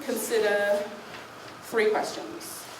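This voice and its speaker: A woman speaks at a fairly high pitch. Room echo and background noise are both audible. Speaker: coffee professional and conference speaker. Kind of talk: conference talk. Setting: stage with audience.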